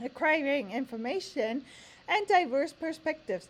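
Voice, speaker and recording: A woman's pitch swings very widely. She speaks at a fairly slow pace. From Germany. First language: German. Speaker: language teacher. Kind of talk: tutorial. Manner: reading aloud from standards text.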